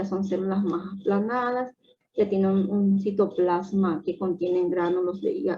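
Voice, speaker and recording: Fairly slow and somewhat breathy, a woman speaks at medium pitch in a dark, mellow tone with fairly even intonation. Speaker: medical lecturer. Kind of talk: lecture.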